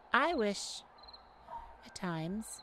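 A woman performs a put-on character voice at medium pitch, bright and sharp in tone. She goes very slowly with big pitch swings.

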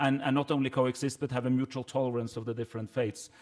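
In a Norwegian accent, a man speaks with monotone, flat intonation against a quiet background. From Norway. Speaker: government minister. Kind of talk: panel discussion. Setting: stage with audience. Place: hall. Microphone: podium.

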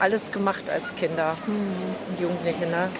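Against noticeable background noise, a woman speaks at a very slow pace in a monotone, flat intonation. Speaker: senior cooking group host. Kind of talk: interview. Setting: cooking school kitchen in a market hall. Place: kitchen.

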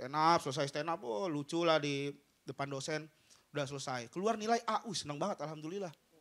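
Talking at a very fast pace, a man sounds animated. His pitch is fairly high, with ordinary variation. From Bima, Sumbawa, Indonesia. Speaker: stand-up comedian. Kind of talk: stand-up comedy. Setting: stage with audience. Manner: animated, fast, punchline-driven with jokes and crowd-work asides. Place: stage. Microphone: handheld.

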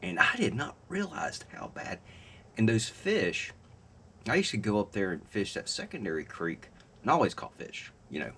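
This is a man speaking. His pace is moderate. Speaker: fishing vlogger. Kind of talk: casual vlog chat. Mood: relaxed, lightly joking. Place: home room. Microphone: webcam.

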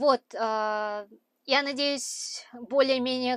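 The sound is dry, with no echo, and the background is quiet. A woman speaks with fairly even intonation. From Kazakhstan, Aktobe; Kazakhstan. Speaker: truck driver and vlogger; vlogger. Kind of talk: vlog talk to camera. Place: car. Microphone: lapel.

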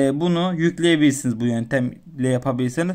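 This man has a plain, everyday voice with a fairly high pitch and lively intonation. The background is quiet. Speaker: tech YouTuber. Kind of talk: tutorial. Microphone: phone near.

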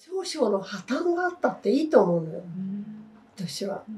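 With light background noise behind her, a woman speaks with very wide pitch swings. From Tokyo, Japan. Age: 80s+. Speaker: children's book author. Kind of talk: interview answer. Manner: casual, chatty. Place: home room. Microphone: lapel.

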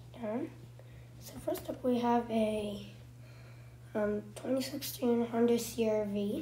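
Speaking at a very slow pace, a woman leaves long, frequent pauses. Noticeable background noise is present. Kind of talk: casual game commentary.

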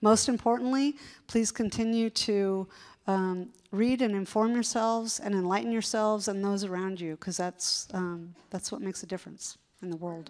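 Set against a quiet background, a woman talks with ordinary pitch variation. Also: moderate pace. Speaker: newspaper editor and interviewer; newspaper editor, interviewer. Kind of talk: onstage interview. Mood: warm, thoughtful. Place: stage. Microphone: handheld.

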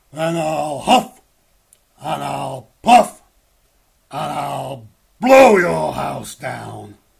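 A man shouting in a raspy, put-on character voice at a very slow pace with long, frequent pauses. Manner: shouting, menacing.

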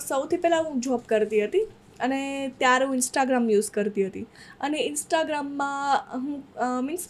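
Her intonation is lively. The woman's voice sits high in pitch. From Saurashtra, Gujarat (near Junagadh), raised in Surat; Gujarat. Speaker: social media creator and music video actress; social media creator, music video actress. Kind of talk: casual interview. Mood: relaxed, smiling. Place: studio. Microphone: studio mic.

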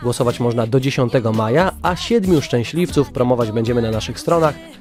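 The speech moves at a very fast pace with lively intonation. Music plays in the background. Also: man, medium pitch for a man. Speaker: radio host. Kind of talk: radio news review.

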